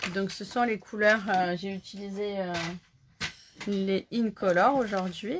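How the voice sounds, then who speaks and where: A woman talks at a very slow pace with long, frequent pauses and fairly even intonation. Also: medium pitch for a woman. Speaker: crafting instructor. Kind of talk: live craft tutorial. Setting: Facebook live stream. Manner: casual, chatty.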